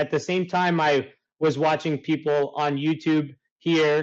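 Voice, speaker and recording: The speaker is a man. His pitch is fairly high. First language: Italian. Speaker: life coach. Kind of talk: interview.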